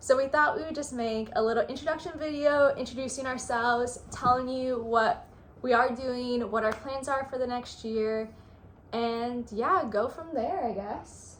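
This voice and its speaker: The voice carries an American accent and ordinary pitch variation at a moderate pace. Audible room echo is present. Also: woman, high pitch for a woman. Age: 20s. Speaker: travel vlogger. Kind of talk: casual chat. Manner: hesitant, many fillers.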